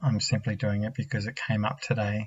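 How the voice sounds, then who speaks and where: A soft-spoken man with a fairly low, somewhat breathy voice and an Australian accent. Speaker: vlogger. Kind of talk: personal testimony. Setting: home at night. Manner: halting. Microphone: laptop mic.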